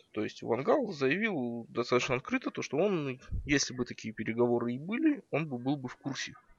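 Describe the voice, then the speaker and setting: At a moderate pace, a man with a normal speaking voice talks at medium pitch with ordinary pitch variation, in a dry, close sound with no echo. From Kazakhstan, Karaganda. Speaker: fan and expert commentator.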